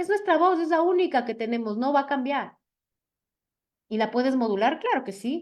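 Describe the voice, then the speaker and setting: A woman's high voice with very wide pitch swings at a moderate pace. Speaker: public speaking coach. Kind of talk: lecture. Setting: video call.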